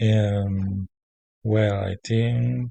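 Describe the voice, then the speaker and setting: Against a quiet background, a man with a Spanish accent speaks in a fairly low, somewhat breathy voice with a dark, mellow tone, and the sound is dry and close with no echo. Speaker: language student. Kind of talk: spoken class assignment. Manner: halting, many fillers.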